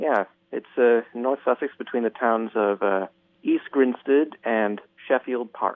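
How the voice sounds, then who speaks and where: A man with a medium-pitched voice speaks in a normal speaking voice, his intonation fairly even. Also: fairly slow pace. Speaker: radio caller. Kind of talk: casual chat. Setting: phone call.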